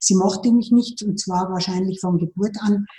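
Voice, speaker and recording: The speaker is a woman with a somewhat breathy voice. Her tone is dark and mellow. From Lower Bavaria, Germany. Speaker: financial advisor. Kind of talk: interview.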